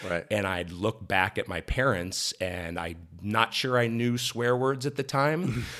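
Bright and sharp in tone with lively intonation, a voice in a General American accent moves at a fairly slow pace on a very clean recording with a silent background. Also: man, medium pitch for a man. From US Midwest (Ohio, Columbus area). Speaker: sports broadcaster. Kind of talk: casual interview.

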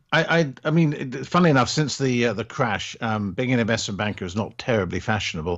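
Rattling along at a very fast pace with hardly any pauses, a man speaks at medium pitch with lively intonation. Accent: RP. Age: 50s. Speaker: entrepreneur and online instructor. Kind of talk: interview. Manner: halting, many fillers and repeats.

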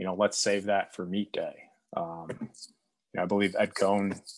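In an American accent, the words come at a moderate pace. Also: man. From US Midwest, Chicago area. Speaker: strength and conditioning coach. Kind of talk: podcast interview. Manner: halting, many fillers.

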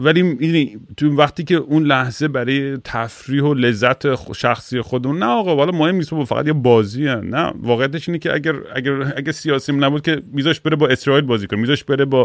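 This man talks at a very fast pace. His pitch is fairly high, with ordinary variation. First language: English stronger than Persian (speaking Persian). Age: 40s. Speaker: podcast host and musician. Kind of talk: casual chat.

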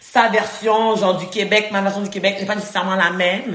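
Monotone, flat intonation at a moderate pace, with audible room echo and noticeable background noise. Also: woman. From Haiti. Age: 20s. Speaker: podcast co-host, student. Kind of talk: casual chat.

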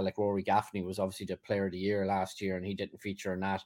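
A man at a fairly quick pace, very clean recording with a silent background. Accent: Irish. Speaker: football journalist. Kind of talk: casual chat. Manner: halting.

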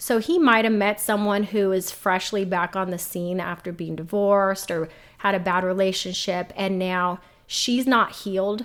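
On a very clean recording with a silent background, a woman talks at a moderate pace in an unremarkable speaking voice. Her pitch is medium and her intonation fairly even. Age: 30s. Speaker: single mom, navy veteran, criminal justice professional. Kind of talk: casual interview.

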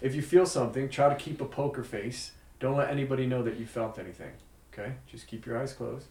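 Amid noticeable background noise and audible room echo, a man speaks very fast at medium pitch with fairly even intonation. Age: 30s. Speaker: magician and illusionist. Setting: studio. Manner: measured, hushed showman's patter.

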